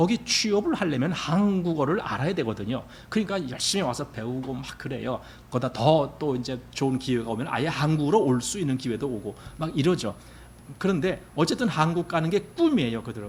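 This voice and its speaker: A man's fairly high, somewhat breathy voice with lively intonation at a fairly quick pace. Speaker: pastor. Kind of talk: sermon. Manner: conversational.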